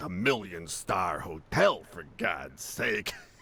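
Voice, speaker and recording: A man puts on a character voice with a very deep, low pitch. He talks at a fairly slow pace. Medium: video game. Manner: wry, sardonic.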